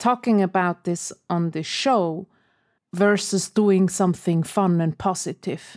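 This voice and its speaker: In a non-native accent, a woman speaks at a very slow pace with a medium pitch. The recording is very clean, with a silent background. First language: not English. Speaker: podcast co-host and editor. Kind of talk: casual chat.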